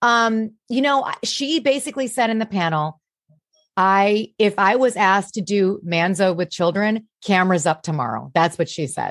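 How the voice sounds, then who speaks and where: A woman's ordinary speaking voice, medium in pitch, with lively intonation at a moderate pace. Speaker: comedian and impressionist. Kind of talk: casual chat.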